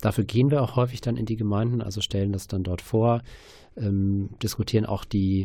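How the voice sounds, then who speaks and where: Here a man speaks at a fairly low pitch, somewhat breathy, with ordinary pitch variation. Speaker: church asylum network worker. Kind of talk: radio interview. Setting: studio.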